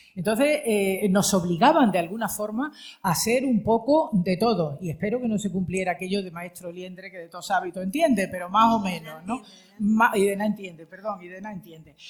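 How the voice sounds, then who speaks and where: Fairly quick, somewhat breathy speech from a woman at medium pitch, lively intonation and big swings in loudness. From Spain, mixed regions. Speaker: retired radio and TV journalist. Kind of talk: panel discussion.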